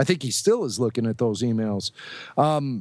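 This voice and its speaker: In an American accent, a man talks at a fairly quick pace. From Chicago. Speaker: podcast co-host and radio producer. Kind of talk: casual interview chat.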